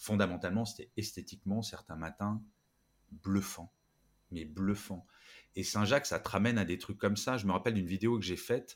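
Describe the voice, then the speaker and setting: Fairly low in pitch, a man talks at a moderate pace with fairly even intonation and long, frequent pauses. The recording is very clean, with a silent background. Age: 50s. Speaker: podcaster, author and speaker. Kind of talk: interview conversation.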